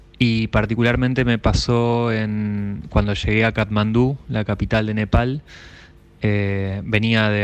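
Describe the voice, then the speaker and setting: A man's fairly low voice at a fairly slow pace with fairly even intonation. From Argentina, northern Neuquén. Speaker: radio listener sending a voice message. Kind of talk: recorded listener anecdote. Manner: halting, many repetitions.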